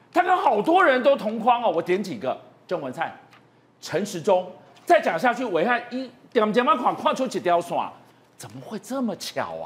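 A high-pitched man with very wide pitch swings, big swings in loudness and long, frequent pauses. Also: moderate pace. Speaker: political talk show host. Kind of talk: political talk show. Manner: animated.

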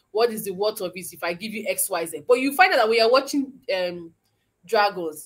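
A woman with a fairly high pitch talks at a fairly quick pace in an energetic tone. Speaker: intellectual property lawyer. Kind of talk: webinar talk. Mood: engaged, explanatory.

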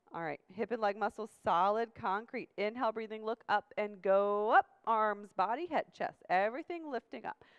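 Against a quiet background, a woman speaks at a moderate pace with hardly any pauses, her fairly high voice carrying lively intonation. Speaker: yoga instructor. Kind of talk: guided yoga class instruction. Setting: video class with demonstrators. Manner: brisk, commanding, rhythmic cueing; calm, directive. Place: gym.

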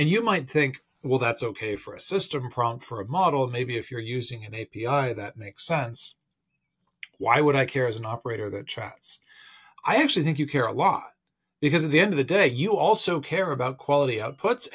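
A man speaks at a fairly quick pace with lively intonation and big swings in loudness. The background is quiet. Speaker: tech commentator. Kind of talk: casual vlog commentary. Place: home room. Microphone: phone near.

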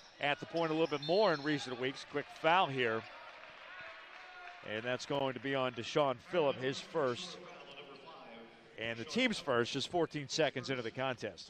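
The recording is dry with no echo and light background noise as a man speaks at a fairly slow pace with ordinary pitch variation. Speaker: play-by-play announcer. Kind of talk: sports commentary. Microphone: headset.

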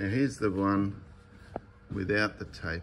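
A man is speaking. There is light background noise behind him. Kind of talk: casual vlog chat. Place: workshop. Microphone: phone near.

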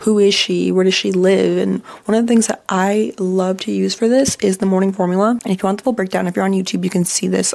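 Over a quiet background, a woman talks in an animated tone. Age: 20s. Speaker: podcast host. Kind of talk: casual chat. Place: home room. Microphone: studio mic.

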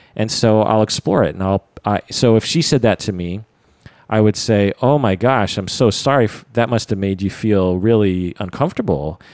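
A man with a plain, everyday voice talks at a moderate pace and a fairly low pitch, his pitch varying in an ordinary way, on a very clean recording with a silent background. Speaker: podcast host and psychotherapist. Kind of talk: casual chat.

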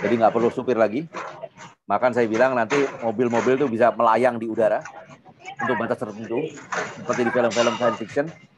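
Speaking very fast with fairly even intonation, a man leaves long, frequent pauses against noticeable background noise. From Jakarta, Indonesia. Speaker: invited speaker, industry professional; speaker. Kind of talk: webinar presentation with Q&A. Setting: video call. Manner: informal, filler-heavy. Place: home room. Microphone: video call.

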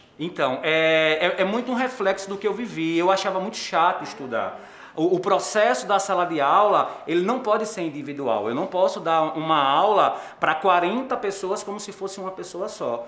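Amid audible room echo, a man with a high pitch speaks at a moderate pace with lively intonation. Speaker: theatre teacher. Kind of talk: interview answer. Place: classroom.

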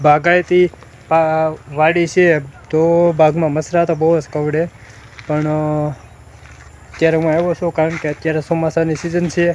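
A man's high-pitched, monotone, flat delivery over noticeable background noise. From Saurashtra, Gujarat (Amreli district). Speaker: village vlogger. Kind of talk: casual vlog. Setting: outdoors on a farm.

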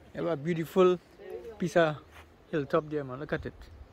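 Over light background noise, a man talks at a fairly quick pace in a high pitch, with a dry sound and no echo. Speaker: vlogger narrator. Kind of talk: casual vlog chat. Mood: relaxed, cheerful. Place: garden. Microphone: phone near.

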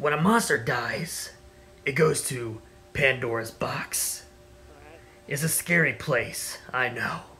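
A man's fairly high, lively voice at a fairly slow pace, with long, frequent pauses and clear music in the background. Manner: calm, mysterious, apologetic.

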